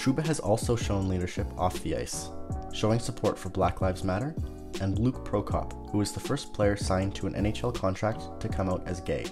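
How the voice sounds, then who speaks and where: The voice moves through very wide pitch swings at a fairly quick pace. Music plays in the background. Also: man, very deep, low pitch for a man. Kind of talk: hockey commentary narration.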